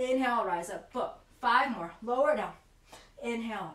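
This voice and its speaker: A woman talks at a moderate pace with lively intonation, and audible room echo is present. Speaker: yoga teacher. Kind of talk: guided yoga class.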